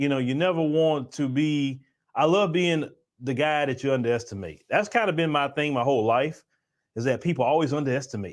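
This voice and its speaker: A man with a Southern US accent talks at a fairly quick pace and fairly high pitch. His pitch varies in an ordinary way over a quiet background. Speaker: livestream show host. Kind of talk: casual livestream chat. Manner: casual, repetitive with false starts.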